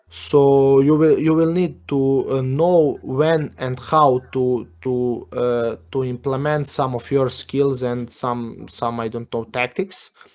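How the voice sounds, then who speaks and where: Very slow speech from a man with a non-native accent, medium in pitch, with fairly even intonation and hardly any pauses. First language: not English. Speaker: gaming guild representative. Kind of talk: casual interview. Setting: Discord voice chat. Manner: halting, many fillers.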